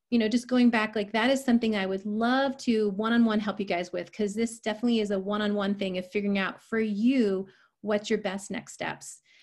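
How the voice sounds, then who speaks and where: This is a woman with an ordinary speaking voice, medium in pitch, at a fairly quick pace. Her intonation stays fairly even against a quiet background. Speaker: health and nutrition coach. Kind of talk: online presentation.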